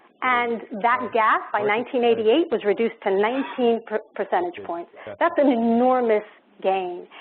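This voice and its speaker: In a plain, everyday voice, a woman talks at a moderate pace, her pitch fairly high with ordinary variation. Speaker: education panelist. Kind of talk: panel discussion.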